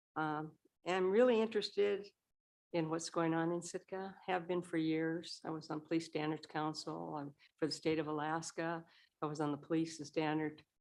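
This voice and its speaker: A woman with a normal speaking voice, fairly low in pitch, at a moderate pace with fairly even intonation. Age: 60s. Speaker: local business owner, applicant. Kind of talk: public comment at council meeting.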